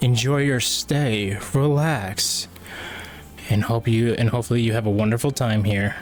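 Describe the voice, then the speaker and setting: A man's medium-pitched voice at very even loudness, with noticeable background noise. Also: ordinary pitch variation, moderate pace. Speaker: livestreamer. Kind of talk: casual chat. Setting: livestream.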